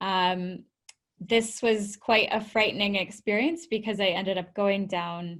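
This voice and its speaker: A woman speaks in a Canadian accent at a fairly slow pace. Her intonation stays monotone and flat. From Canada, Vancouver. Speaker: tech entrepreneur and founder. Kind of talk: webinar presentation.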